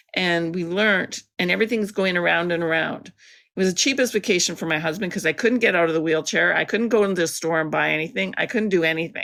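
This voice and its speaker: In a Canadian accent, a woman with a fairly low pitch and ordinary pitch variation talks very fast with hardly any pauses, her tone bright and sharp and touched by vocal fry. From Canada, Alberta. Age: 60s. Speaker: artist with multiple sclerosis. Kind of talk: interview. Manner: halting.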